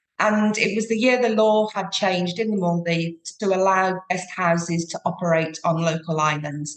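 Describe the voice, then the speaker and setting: Someone with a British accent talks with fairly even intonation. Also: woman. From UK. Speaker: sustainable tour operator. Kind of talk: podcast interview.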